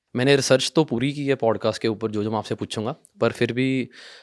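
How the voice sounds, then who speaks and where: In a Punjabi accent, a man speaks with fairly even intonation. The sound is dry and close with no echo, on a very clean recording with a silent background. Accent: Punjabi-accented Hindi, weak Hindi. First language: Punjabi (speaking Hindi). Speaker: talk show host. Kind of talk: interview.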